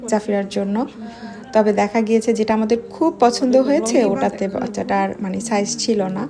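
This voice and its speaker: Over music in the background, a woman speaks in a fairly high pitch with ordinary pitch variation. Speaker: vlogger. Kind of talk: vlog narration.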